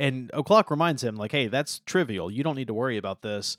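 This man has an ordinary speaking voice. He talks at a medium pitch with ordinary pitch variation. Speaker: podcast co-host. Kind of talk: casual podcast discussion of a comic.

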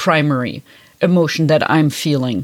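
This voice belongs to a woman. She has a German accent. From Germany, Bavaria (Franconia). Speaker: podcast host, Chinese medicine historian. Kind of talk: casual conversation. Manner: halting.

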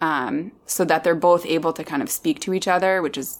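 A woman's normal speaking voice, fairly low in pitch, at a moderate pace in a very clean recording with a silent background. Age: 20s. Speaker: program manager, podcast guest. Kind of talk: casual chat.

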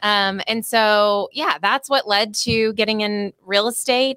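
A woman with an American accent speaks at a medium pitch in a bright, sharp tone. Her intonation is fairly even, and the sound is dry and close with no echo. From Oklahoma. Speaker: real estate team owner and broker. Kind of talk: podcast interview.

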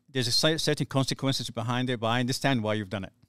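A man with a medium pitch talks at a very fast pace. The recording is very clean, with a silent background. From Somalia. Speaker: documentary maker and community worker. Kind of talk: casual interview, life story. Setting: studio, seated on a couch.

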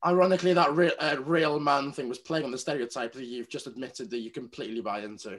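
A very fast, fairly high-pitched man with a Welsh accent and hardly any pauses. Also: ordinary pitch variation. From Wales. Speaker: podcast host. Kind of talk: casual chat.

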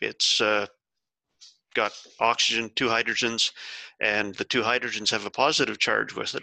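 In an Ontario accent, a man with a bright, sharp tone and medium pitch speaks at a moderate pace, with a dry, close sound with no echo. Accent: Ontario Canadian. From Bruce County, Ontario, Canada. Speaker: soil scientist and author. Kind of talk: explanatory interview.

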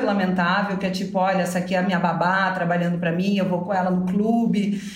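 A woman's speech carries audible room echo, and noticeable background noise sits underneath. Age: 40s. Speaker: novelist. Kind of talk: casual interview.

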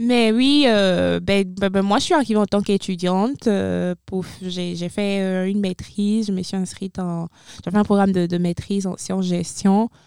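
This woman talks fairly slowly, her voice at a medium pitch. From Benin. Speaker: former international student, university staff. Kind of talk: interview. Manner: halting.

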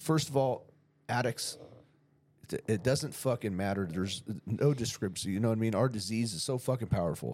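With an American accent, a man talks at a fairly quick pace in an unremarkable speaking voice with ordinary pitch variation. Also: medium pitch for a man. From San Diego County, California. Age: 40s. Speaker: podcast host. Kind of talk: casual chat.

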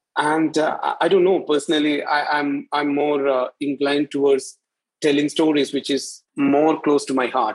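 The pace is moderate. The intonation stays monotone and flat. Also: man, fairly high pitch for a man. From India, Kerala. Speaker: artist. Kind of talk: interview. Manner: halting.

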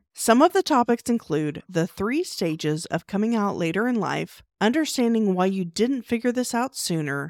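With a normal speaking voice, a woman talks at a moderate pace with lively intonation, in a dry, close sound with no echo on a very clean recording with a silent background. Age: 40s. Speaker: podcast host. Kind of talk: interview; promo read.

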